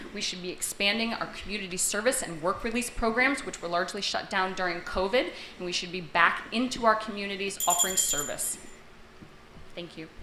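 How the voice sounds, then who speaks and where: A woman with an American accent speaks fairly quickly at a medium pitch, with ordinary pitch variation and big swings in loudness. Noticeable background noise and audible room echo fill the recording. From western Massachusetts. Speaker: registered nurse and sheriff candidate. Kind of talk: debate opening statement. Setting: grange hall with live audience.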